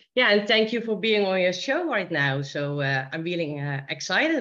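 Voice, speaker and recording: A lively, bouncing delivery with a Dutch accent. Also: woman. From Netherlands, Helmond. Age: 50s. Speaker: guest. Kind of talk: radio interview. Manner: halting.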